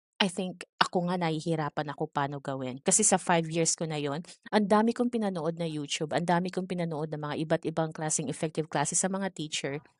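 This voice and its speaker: Soft-spoken and fairly low in pitch, a woman talks at a very fast pace with hardly any pauses and ordinary pitch variation, dry and close with no echo over a quiet background. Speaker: ESL teacher trainer. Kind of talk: online training session. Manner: calm, soft-spoken.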